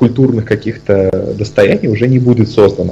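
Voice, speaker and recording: A man's medium-pitched voice at a moderate pace, with ordinary pitch variation and noticeable background noise. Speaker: podcast co-host. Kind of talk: casual chat. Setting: video call.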